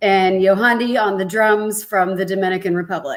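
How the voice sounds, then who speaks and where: A woman with an American accent and a normal speaking voice speaks at a fairly slow pace, keeping her medium pitch in fairly even intonation. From Texas. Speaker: keyboardist and backup singer. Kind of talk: casual interview.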